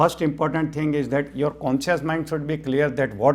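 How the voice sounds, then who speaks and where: Speaking at a fairly quick pace, a man with a Gujarati accent is heard in a very clean recording with a silent background. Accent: Indian (Gujarati) English. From India, Gujarat (Rajkot). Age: 60s. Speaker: mind-power trainer and physician. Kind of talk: interview.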